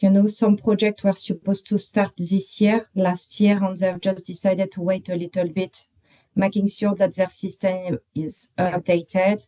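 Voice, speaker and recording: In a strong French accent, a woman speaks at a moderate pace with a medium-pitched, dark, mellow tone. Her voice is somewhat breathy, and her intonation is monotone and flat. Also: dry, close sound with no echo. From France, Paris. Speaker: construction professional. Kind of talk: online work meeting discussion. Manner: halting, many fillers.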